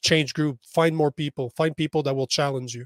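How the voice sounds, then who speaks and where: A man with a normal speaking voice and a Canadian accent, fairly high pitch, fairly even intonation, and a moderate pace, in a very clean recording with a silent background and a dry, close sound with no echo. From Canada. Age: 40s. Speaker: men's coach. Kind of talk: podcast interview.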